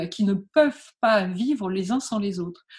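A somewhat breathy voice with lively intonation rises and falls over a quiet background. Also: woman. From northern France (Calais). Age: 50s. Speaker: entrepreneur and marathon runner. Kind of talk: interview. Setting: remote interview. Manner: halting.

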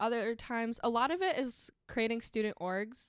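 In a very clean recording with a silent background, a woman with a Midwestern American accent speaks at a moderate pace with a fairly high pitch. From Michigan, Ann Arbor. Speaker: university student. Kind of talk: casual interview.

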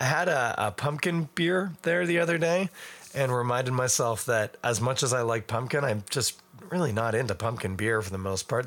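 A raspy man's voice at medium pitch, with ordinary pitch variation and a moderate pace. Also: fairly bright tone.

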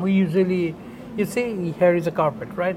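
High male voice with a Bengali accent over noticeable background noise. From Bangladesh. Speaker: advertising creative director. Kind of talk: interview. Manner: halting.

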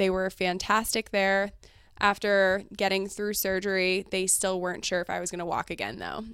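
Monotone, flat intonation comes through in a very clean recording with a silent background. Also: woman, medium pitch for a woman. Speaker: financial advisor. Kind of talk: casual interview chat. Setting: office. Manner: fast talker.

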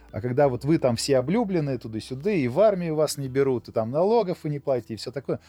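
Very fast and lively in intonation, a man talks at a fairly high pitch with a dark, mellow tone. The background is quiet, and the sound is dry and close with no echo. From Russia, Yoshkar-Ola (Mari El). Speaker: IT company owner. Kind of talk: casual interview discussion.

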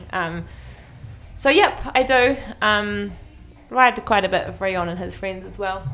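Big swings in loudness mark a woman's medium-pitched voice with a bright, sharp tone as she speaks at a fairly slow pace with long, frequent pauses, with audible room echo around her. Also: ordinary pitch variation. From New Zealand, North Island. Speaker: mountain biker. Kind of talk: casual interview. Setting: gym studio.

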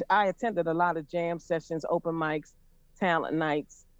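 Speaking with an American accent, a man uses a high pitch. The sound is dry and close, without echo. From Pittsburgh, Pennsylvania. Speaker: blues and jazz vocalist. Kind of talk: radio interview.

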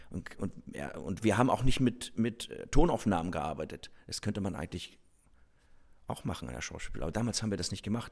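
This man talks very fast in a fairly low voice with vocal fry, his pitch swinging very widely. He leaves long, frequent pauses. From northern Germany, Rostock. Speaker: stage actor. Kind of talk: casual conversation; reading aloud.

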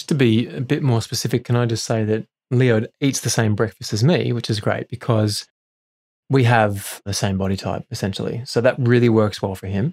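A man with a normal speaking voice, medium pitch, ordinary pitch variation and a moderate pace, in a dry, close sound with no echo. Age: 40s. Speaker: wellness speaker, host's husband. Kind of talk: casual chat.

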